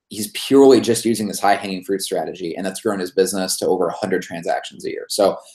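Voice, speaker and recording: Hardly any pauses break up this man's very fast delivery. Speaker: marketing agency founder and author. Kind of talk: webinar presentation. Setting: online webinar.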